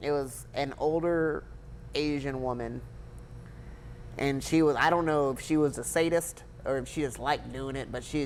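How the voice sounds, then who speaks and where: Someone with an American accent speaks at a moderate pace amid audible room echo. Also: man. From Blythe, California. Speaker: war veteran and police officer. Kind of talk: interview conversation. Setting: restaurant.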